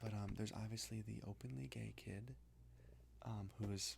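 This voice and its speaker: Whispering at a moderate pace, a soft-spoken man sounds somewhat breathy. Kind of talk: casual talk to camera, book review. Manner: soft-spoken, whispered.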